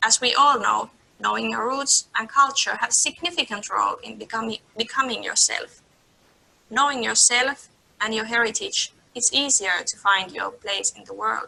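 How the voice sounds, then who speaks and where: Speaking at a moderate pace with a Sami accent, the woman's voice shows big swings in loudness. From northern Finland, Oulu. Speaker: student and Sami culture representative. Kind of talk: webinar presentation. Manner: formal.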